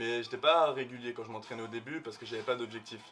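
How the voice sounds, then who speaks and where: A man's medium-pitched voice, fairly quick and fairly even in intonation, over noticeable background noise. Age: 20s. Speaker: fitness coach in training. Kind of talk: casual interview chat.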